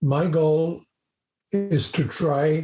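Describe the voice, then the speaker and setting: A man speaks in a dark, mellow tone that is somewhat breathy. His pitch varies in an ordinary way. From South Africa. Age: 70s. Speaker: business professor and mentor. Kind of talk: podcast interview.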